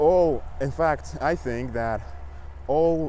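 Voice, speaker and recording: A man talking at a very slow pace. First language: Russian. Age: 20s. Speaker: fitness coach and language learner vlogger. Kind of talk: casual vlog monologue. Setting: outdoors, riding a bike. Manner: halting.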